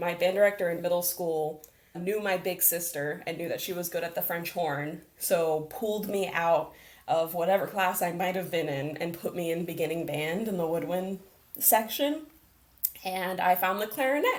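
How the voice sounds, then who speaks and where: A woman with an American accent has an unremarkable speaking voice and a fairly low pitch. She talks at a moderate pace with ordinary pitch variation. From Las Vegas, US. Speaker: arts program manager. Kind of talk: interview.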